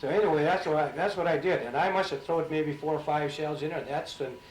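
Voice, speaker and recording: A man with an American accent talks at a very fast pace and a fairly high pitch, with fairly even intonation and noticeable background noise. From St. Cloud, Minnesota. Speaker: Navy veteran, Pearl Harbor survivor. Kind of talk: oral history interview answer.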